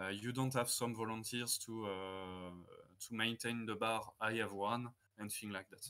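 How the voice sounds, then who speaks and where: Speaking with a French accent at a fairly slow pace, a man uses a medium-pitched, bright, sharp tone and a flat, monotone delivery. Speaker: tournament judge. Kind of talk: interview. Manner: halting, many filler sounds.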